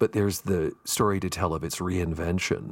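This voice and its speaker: A man with an American accent at a moderate pace, on a very clean recording with a silent background. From Southern California. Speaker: public radio journalist and host. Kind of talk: casual interview.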